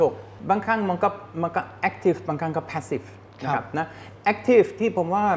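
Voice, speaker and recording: Here is a man with a German accent. His pitch is high, with ordinary variation. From Germany. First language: German (speaking Thai). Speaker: advertising executive. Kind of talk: interview.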